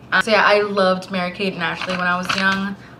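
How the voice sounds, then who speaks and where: Noticeable background noise sits behind a woman's speech. She has a medium pitch and a fairly quick pace. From Puerto Rico, moved to Florida as a child. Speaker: book vlogger. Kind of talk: casual vlog talk.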